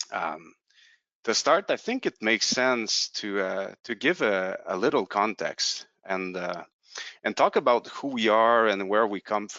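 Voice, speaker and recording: A man with a strong French Canadian accent, at a fairly slow pace, fairly low in pitch with ordinary pitch variation. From Quebec, Canada. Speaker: company representative presenting a product. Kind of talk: webinar presentation. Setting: online webinar. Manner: halting, many fillers and repetitions.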